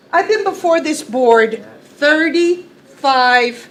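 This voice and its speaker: Over noticeable background noise, a woman speaks in a high voice with very wide pitch swings. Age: 60s. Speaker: county worker making public comment. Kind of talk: public comment at a meeting. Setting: county legislature meeting room. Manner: impassioned.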